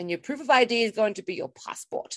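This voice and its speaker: In a dry, close sound with no echo, a woman with an Australian accent speaks at a fairly high pitch with lively intonation. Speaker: podcast co-host. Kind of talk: casual chat.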